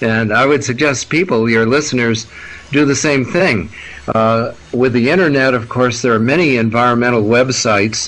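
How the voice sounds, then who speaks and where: Over noticeable background noise, a man with an American accent speaks at a moderate pace and medium pitch, with ordinary pitch variation. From United States. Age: 70s. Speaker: scientist and activist. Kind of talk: interview. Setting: radio interview. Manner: halting, many fillers and repetitions.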